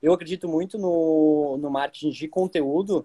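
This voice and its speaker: This man talks at a fairly high pitch with fairly even intonation, in a dry, close sound with no echo. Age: 20s. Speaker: travel agency marketer and podcast host. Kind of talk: casual interview chat. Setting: Instagram live.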